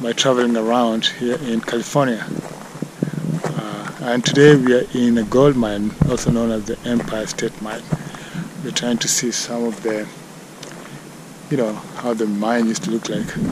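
A man speaks with long, frequent pauses, the dry, echo-free sound carrying noticeable background noise. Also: moderate pace. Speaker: travel vlogger. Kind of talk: casual vlog chat. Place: open country. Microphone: phone near.

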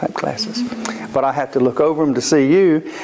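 Over light background noise, a man speaks with very wide pitch swings. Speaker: pastor. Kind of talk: sermon. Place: church. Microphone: handheld.

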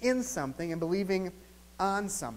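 A high-pitched man with an American accent at a moderate pace. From US Midwest, southeastern Wisconsin. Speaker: pastor. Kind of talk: sermon. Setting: church. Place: church.

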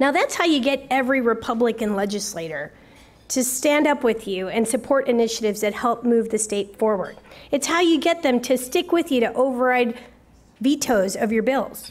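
A woman speaks at a moderate pace with a high pitch. Her pitch varies in an ordinary way. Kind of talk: public speech. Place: hall. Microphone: podium.

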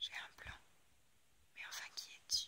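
Whispered speech from a woman. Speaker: ASMR creator. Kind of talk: storybook reading. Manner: whispered, soft-spoken. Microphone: phone near.

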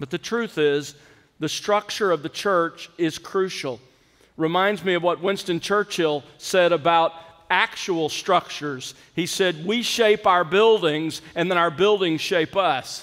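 A man's high-pitched voice at a fairly slow pace, with ordinary pitch variation and a quiet background. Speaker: preacher. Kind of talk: sermon. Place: church. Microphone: podium.

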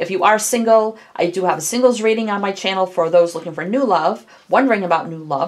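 A woman rattles off her words at a very fast pace, with light background noise behind her. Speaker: tarot reader. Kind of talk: casual tarot reading intro.

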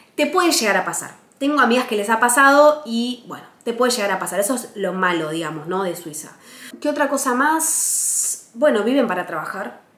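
A fairly high female voice with very wide pitch swings at a moderate pace, heard with audible room echo. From Argentina, Buenos Aires. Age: 20s. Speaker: travel vlogger. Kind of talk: casual vlog monologue.

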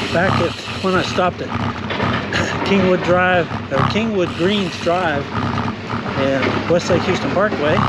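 A man speaks very slowly in a dry sound with no echo, while loud background noise plays. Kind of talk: casual ride narration. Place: bicycle.

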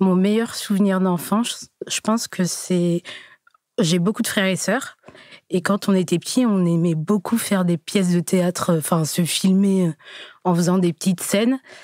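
A woman with a medium-pitched voice speaks at a fairly slow pace, with fairly even intonation and very even loudness, in a dry, close sound with no echo. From Burgundy, France (Joigny). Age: 20s. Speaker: dating show participant. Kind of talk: interview. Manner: hesitant.

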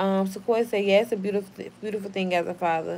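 A woman speaks very fast with an American accent. Her tone is animated. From Oklahoma. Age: 30s. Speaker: YouTuber; live streamer. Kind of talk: casual livestream chat. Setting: home livestream. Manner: profane. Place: home room. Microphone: phone near.

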